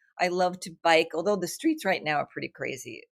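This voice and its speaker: The sound is dry and close, with no echo. A woman talks in a New York accent. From New York City, Brooklyn. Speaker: artist and writer. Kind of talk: interview conversation. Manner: animated.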